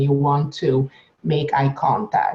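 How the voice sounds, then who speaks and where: A woman's somewhat breathy voice, dark and mellow in tone, moves at a fairly slow pace. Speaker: science communicator, professor. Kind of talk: webinar panel discussion.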